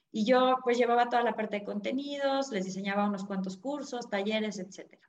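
A woman's plain, everyday voice at a medium pitch, with ordinary pitch variation and a moderate pace. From Mexico City. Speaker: personal finance author. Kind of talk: interview.

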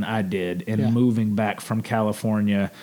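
A man with a Mississippi accent speaks at medium pitch and a moderate pace, in a dark, mellow tone with fairly even intonation. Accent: US Southern (Mississippi). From Jackson, Mississippi. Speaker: sports broadcaster and documentary producer. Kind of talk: interview. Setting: on location near train tracks.

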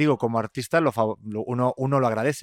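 Speaking at a very fast pace, a man holds a medium pitch. His intonation is fairly even. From Spain. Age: 30s. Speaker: podcast host. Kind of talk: casual chat. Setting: studio.

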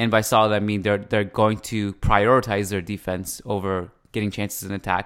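A man with a fairly low pitch speaks in a flat monotone at a moderate pace, with hardly any pauses, in a very clean recording with a silent background. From Canada. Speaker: podcast host. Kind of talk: casual sports podcast discussion. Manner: conversational, chatty.

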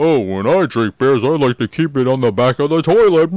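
A man speaks in a put-on character voice at a fairly quick pace, his pitch medium. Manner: mocking, silly.

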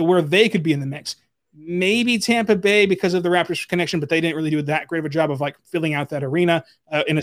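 Speaking very fast in an American accent, a man uses a high pitch with ordinary variation. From Oklahoma. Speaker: sports podcast host. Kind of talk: casual chat.

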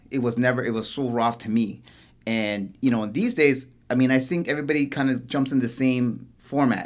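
With a Toronto accent, a man talks at a fairly quick pace. His medium-pitched voice has fairly even intonation. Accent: Canadian English, Toronto. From Toronto, Canada. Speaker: graffiti artist and tattoo shop owner. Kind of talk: casual chat.

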